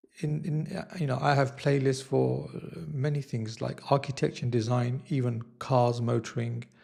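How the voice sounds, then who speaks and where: A man is speaking here. His tone is dark and mellow, and somewhat breathy. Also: medium pitch for a man, fairly even intonation. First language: not Italian; learning Italian. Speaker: YouTuber / vlogger. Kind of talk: casual vlog monologue. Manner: slow; hesitant, many fillers.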